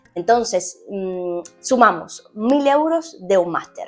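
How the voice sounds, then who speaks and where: A woman speaks with a Cuban accent at a fairly high pitch, using lively intonation. Music plays in the background. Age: 20s. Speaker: sports journalist. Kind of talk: casual talk to camera; informational guide.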